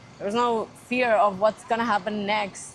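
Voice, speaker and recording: A woman's medium-pitched voice with fairly even intonation over noticeable background noise. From Spain. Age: 20s. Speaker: marketing intern. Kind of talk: casual chat.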